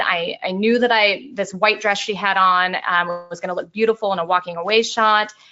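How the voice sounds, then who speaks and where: Over music in the background, a woman speaks at a fairly quick pace. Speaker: portrait photographer. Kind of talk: webinar tutorial. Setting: online webinar. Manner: fast.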